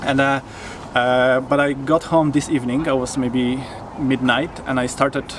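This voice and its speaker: Monotone, flat intonation in a Polish accent, very even loudness, a moderate pace and noticeable background noise. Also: man, medium pitch for a man. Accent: non-native English, Polish. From Poland. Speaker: videographer. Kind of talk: interview. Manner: halting, many fillers.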